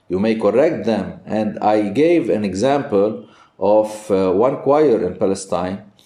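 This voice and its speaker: A man's fairly low, dark, mellow voice at a fairly slow pace, with lively intonation and audible room echo. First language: Arabic. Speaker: priest and Byzantine music teacher. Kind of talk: interview. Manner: halting.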